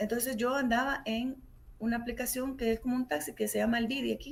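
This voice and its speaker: At a moderate pace, a woman talks in a fairly high voice with ordinary pitch variation. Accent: Salvadoran. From El Salvador. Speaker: human rights lawyer. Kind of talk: radio interview. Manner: animated.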